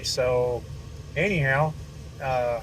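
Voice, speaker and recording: A man with a medium-pitched voice is heard through noticeable background noise. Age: 60s. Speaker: network marketing distributor. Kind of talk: sales pitch. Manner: halting.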